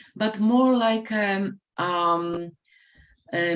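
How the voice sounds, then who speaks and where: Against a quiet background, a woman speaks at a medium pitch with a non-native accent and ordinary pitch variation. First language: not English. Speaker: life coach. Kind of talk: panel discussion. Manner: halting.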